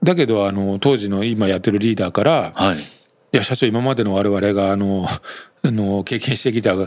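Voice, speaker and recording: At fairly low pitch, a man with a plain, everyday voice talks at a moderate pace with ordinary pitch variation. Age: 50s. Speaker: company executive, entrepreneur. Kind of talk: interview.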